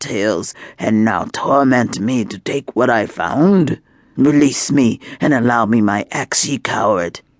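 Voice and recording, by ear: The speaker reads aloud in a natural voice. Pitch shifts are of an ordinary kind.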